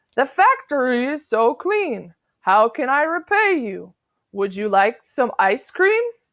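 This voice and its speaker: Putting on a character voice, a woman speaks high and at a fairly slow pace with very wide pitch swings. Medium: read story. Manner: long-winded, lecturing.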